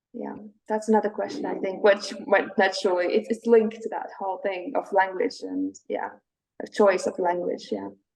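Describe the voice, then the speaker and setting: With a Latvian accent, a woman talks at a moderate pace. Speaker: poet. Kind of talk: interview.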